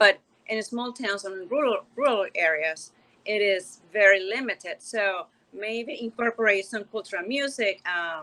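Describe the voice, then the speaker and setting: A woman's bright, sharp voice at a medium pitch, in a Spanish accent, at a fairly slow pace. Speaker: panelist. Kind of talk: virtual panel discussion.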